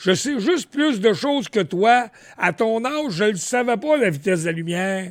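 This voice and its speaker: On a very clean recording with a silent background, a man with a high pitch speaks at a moderate pace, his pitch swinging very widely. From Quebec, Montreal. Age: 70s. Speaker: radio veteran. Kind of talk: casual chat.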